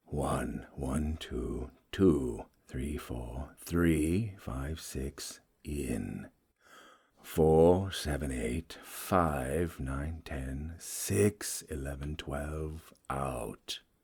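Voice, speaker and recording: Putting on a character voice, a man speaks at a very slow pace in a very deep, low pitch. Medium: read story. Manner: bitter, suppressed fury.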